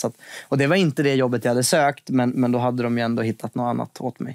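A man with a medium pitch talks over a quiet background, the sound dry with no echo. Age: 20s. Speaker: finance TV presenter and investor; podcast guest. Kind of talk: casual interview. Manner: hesitant, many repetitions. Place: studio.

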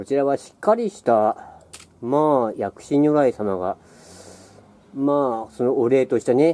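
A man speaks at a fairly slow pace in a relaxed, dark, mellow tone. His loudness swings a lot. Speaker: local history walker. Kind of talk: casual walking-tour narration to camera. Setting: outdoors. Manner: hesitant, relaxed, many fillers. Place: street. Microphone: phone near.

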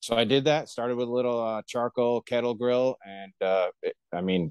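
Against a quiet background, a man speaks with ordinary pitch variation in a dry sound with no echo. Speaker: podcast guest. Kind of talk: interview answer. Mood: relaxed, enthusiastic. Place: home room. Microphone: video call.

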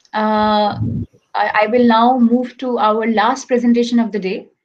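A woman's fairly high, flat, monotone delivery at a fairly slow pace, with light background noise. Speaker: conference moderator and researcher; conference moderator. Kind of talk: moderating an online conference. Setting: online video conference. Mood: polite, measured, some hesitations. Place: home room. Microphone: webcam.

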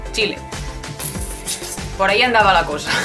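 Clear music plays in the background. A woman speaks over it. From Spain. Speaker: YouTuber. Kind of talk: casual reaction video talk to camera. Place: home room.

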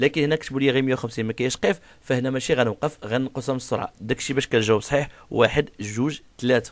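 A man speaks in an unremarkable speaking voice at a medium pitch. He moves at a fairly quick pace with ordinary pitch variation. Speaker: driving instructor. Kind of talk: tutorial.

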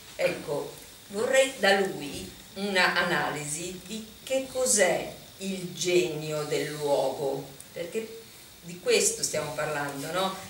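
A woman's fairly low voice with lively intonation at a very slow pace, with light background noise and audible room echo. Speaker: journalist and moderator. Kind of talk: moderated panel. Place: hall.

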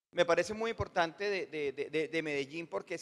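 Moderate pace with ordinary pitch variation. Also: man. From Colombia. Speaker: audience member asking a question; audience member. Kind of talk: audience question. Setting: conference hall with audience. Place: hall. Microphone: handheld.

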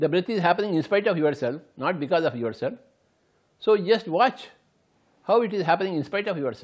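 The speaker has an Indian accent and lively intonation at a fairly quick pace. Long, frequent pauses break up the speech against a quiet background. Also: man. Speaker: meditation teacher. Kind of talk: guided meditation, instructional talk. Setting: recorded video. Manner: gentle, repetitive, instructive. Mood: calm, slow, gentle. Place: home room.

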